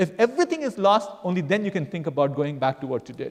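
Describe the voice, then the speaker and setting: With his pitch rising and falling very widely, a man speaks fairly quickly. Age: 60s. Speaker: entrepreneur. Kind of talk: Q&A after guest lecture. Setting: university class with audience. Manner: halting, many fillers.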